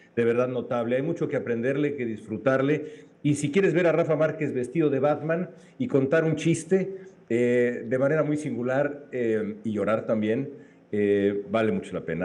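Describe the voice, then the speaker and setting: A man's dark, mellow tone at medium pitch, with lively intonation, a moderate pace and audible room echo. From Mexico. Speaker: journalist. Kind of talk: casual chat.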